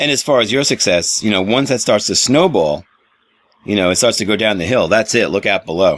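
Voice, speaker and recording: A man talks fairly quickly in a plain, everyday voice. His pitch is fairly low, with ordinary pitch variation. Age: 40s. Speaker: radio host. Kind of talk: interview; radio show link.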